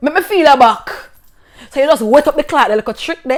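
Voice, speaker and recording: A woman speaks with a Jamaican accent. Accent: Jamaican, Patois. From rural Jamaica. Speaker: vlogger. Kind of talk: casual storytelling vlog. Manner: animated.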